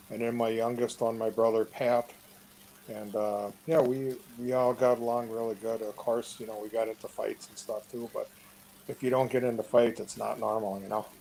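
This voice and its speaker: Speaking at a moderate pace in an Upper Midwest US accent, a man uses a medium pitch and monotone, flat intonation, with big swings in loudness. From Wisconsin, Two Rivers. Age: 60s. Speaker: interviewee. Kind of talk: casual chat. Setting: online live chat.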